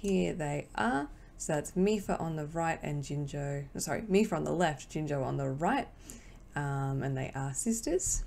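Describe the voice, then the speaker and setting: With an Australian accent, a woman talks at a fairly slow pace in a very deep, low pitch with lively intonation. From Australia, Victoria. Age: 20s. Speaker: cross-stitch vlogger. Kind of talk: casual vlog talk to camera. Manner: casual, hesitant with fillers.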